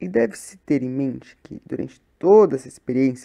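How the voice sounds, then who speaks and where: A woman speaks with a very deep, low pitch and a dark, mellow tone. Her intonation is lively, and her pace is moderate. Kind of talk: short story reading. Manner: soft-spoken.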